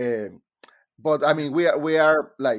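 On a very clean recording with a silent background, a man with a Mexican accent speaks at a fairly slow pace and fairly high pitch. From Monterrey, Mexico. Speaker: composer. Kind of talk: casual interview. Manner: halting, hesitant.

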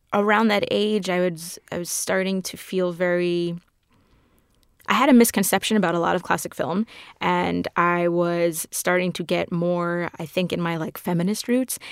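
Here a woman with an American accent talks at a fairly slow pace. Hers is an ordinary speaking voice, medium in pitch, with ordinary pitch variation. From New York City (Queens). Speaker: film fan and guest TV host. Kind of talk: casual interview.

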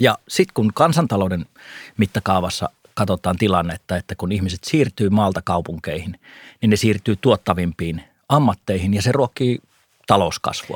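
A man with an unremarkable speaking voice talks at a moderate pace in a fairly low pitch with ordinary pitch variation, recorded very cleanly with a silent background and a dry, close sound with no echo. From North Karelia, eastern Finland. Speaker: investment podcast co-host / analyst. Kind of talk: casual discussion. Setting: studio.

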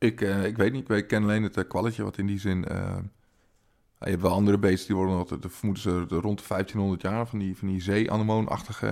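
On a very clean recording with a silent background, a man with a fairly low pitch speaks at a fairly quick pace in a monotone, flat way. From Twente, eastern Netherlands. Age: 40s. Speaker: comedian. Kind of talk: casual chat.

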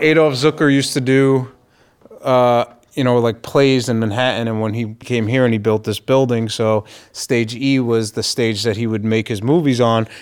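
A man's plain, everyday voice at medium pitch, fairly even intonation and moderate pace, in a very clean recording with a silent background. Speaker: studio stage manager. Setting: studio tour.

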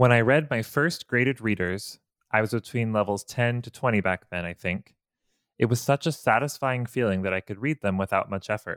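At a fairly quick pace, a man speaks in an ordinary speaking voice at a medium pitch with ordinary pitch variation, the sound dry and close with no echo in a very clean recording with a silent background. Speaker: Japanese learner. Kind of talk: casual chat.

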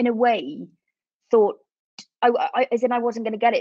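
A woman talks at a moderate pace with a slightly mellow tone.

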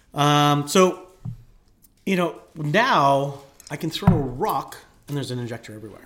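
This man's voice sits fairly high and moves at a moderate pace. He leaves long, frequent pauses, and his loudness swings widely. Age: 40s. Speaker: nurse and aesthetics clinic owner. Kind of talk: casual interview chat.

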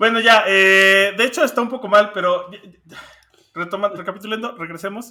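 A man speaks at a moderate pace in a high-pitched, raised and projected voice with ordinary pitch variation. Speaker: music podcast co-host. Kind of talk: casual chat.

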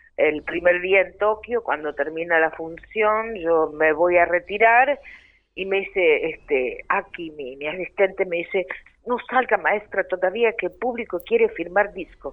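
An ordinary speaking voice moves at a fairly slow pace with ordinary pitch variation. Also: woman, medium pitch for a woman. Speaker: tango singer. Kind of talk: interview. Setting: phone or remote call.

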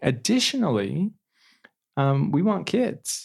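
A man talks in an American accent at a fairly slow pace. His somewhat breathy voice makes very wide pitch swings. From Idaho, Twin Falls. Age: 20s. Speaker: law graduate and returned missionary. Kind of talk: interview testimony.

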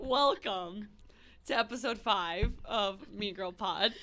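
A woman puts on a hoarse character voice at a medium pitch. She talks fairly slowly.

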